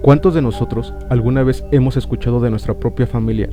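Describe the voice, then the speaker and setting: A man speaks with music in the background. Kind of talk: horror legend narration.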